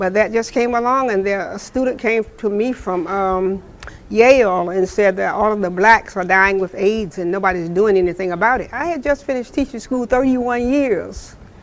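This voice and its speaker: Noticeable background noise accompanies a woman speaking at a medium pitch and moderate pace with ordinary pitch variation. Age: 80s+. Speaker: retired teacher and AIDS charity worker. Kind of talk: interview testimony.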